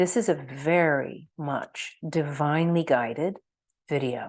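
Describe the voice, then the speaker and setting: Over a quiet background, the voice shows ordinary pitch variation. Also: woman. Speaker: energy healer. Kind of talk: online workshop. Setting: screen-share video. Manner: slow.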